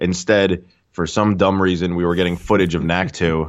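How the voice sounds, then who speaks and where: This man has a very deep, low pitch. He speaks with an American accent. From Queens, New York. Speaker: gamer and streamer. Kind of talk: casual chat.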